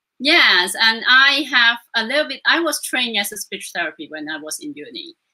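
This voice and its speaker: A woman speaks in a high pitch with a non-native accent. Her pitch swings very widely, and her loudness swings a lot. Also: moderate pace. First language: not English. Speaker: Reiki master. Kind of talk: interview. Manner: hesitant, with fillers.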